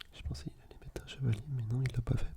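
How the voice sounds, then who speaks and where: Someone whispers in a relaxed tone. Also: man. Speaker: ASMR gaming content creator. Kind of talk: casual soft-spoken gameplay commentary. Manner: soft-spoken, relaxed, conversational.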